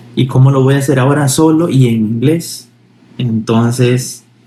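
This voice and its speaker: Dark and mellow in tone, this somewhat breathy voice keeps a fairly even intonation. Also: man. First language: Spanish. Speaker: Spanish language tutor. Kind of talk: personal story in language lesson.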